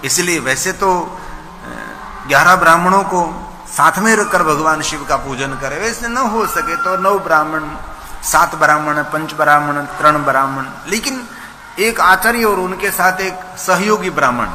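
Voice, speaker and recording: High-pitched male voice with ordinary pitch variation and long, frequent pauses, noticeable background noise behind it. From Gujarat, India. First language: Gujarati (speaking Hindi). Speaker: religious storyteller (katha preacher). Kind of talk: religious discourse (katha).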